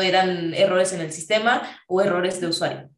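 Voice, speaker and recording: A woman's medium-pitched voice in a central Mexican accent, with monotone, flat intonation and audible room echo. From Mexico City, later Querétaro. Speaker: software engineer. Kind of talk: casual interview chat.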